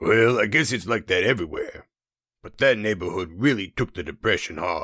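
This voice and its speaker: On a very clean recording with a silent background, a man uses a raspy, put-on character voice at a medium pitch. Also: moderate pace. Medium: read story. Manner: casual, friendly.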